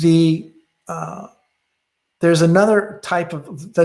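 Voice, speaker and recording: A man with a high pitch. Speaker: software presenter. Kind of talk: technical webinar presentation. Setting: online webinar. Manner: fast; halting with many fillers.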